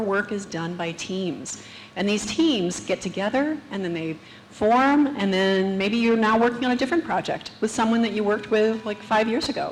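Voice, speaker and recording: A woman speaks at a moderate pace and a medium pitch, her intonation lively, with noticeable background noise and audible room echo. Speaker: conference speaker, tech manager. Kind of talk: conference talk. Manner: soft-spoken.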